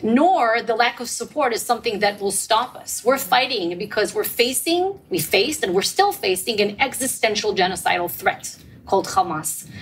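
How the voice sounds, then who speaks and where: A woman talks at a fairly high pitch with very wide swings. Noticeable background noise is present. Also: moderate pace. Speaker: government spokesperson. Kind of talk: panel discussion.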